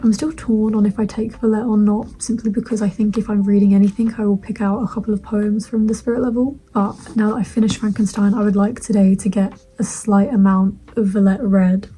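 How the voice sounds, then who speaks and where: Against noticeable background noise, a woman talks at a fairly quick pace with hardly any pauses, her fairly high pitch held in monotone, flat intonation. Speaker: student book vlogger. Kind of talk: casual vlog. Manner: hurried.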